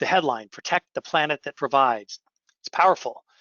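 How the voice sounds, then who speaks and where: This man has an unremarkable speaking voice with a fairly high pitch. He talks at a fairly quick pace with ordinary pitch variation. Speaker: company CEO presenting webinar. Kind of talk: webinar presentation. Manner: repetitive restarts.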